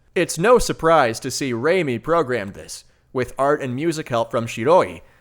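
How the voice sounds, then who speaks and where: A man talks at a moderate pace with lively intonation in an unremarkable speaking voice. The recording is very clean, with a silent background. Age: 30s. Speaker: video game reviewer. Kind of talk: scripted review narration. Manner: casual.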